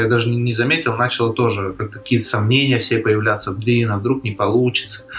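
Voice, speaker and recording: There is noticeable background noise. Through it, a man can be heard talking. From Russia, Krasnodar. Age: 20s. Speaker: basketball player. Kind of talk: interview.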